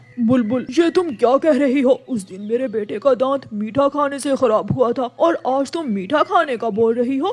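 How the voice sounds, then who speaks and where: A man's cartoonish character voice, extremely high-pitched, at a moderate pace with hardly any pauses. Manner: commanding.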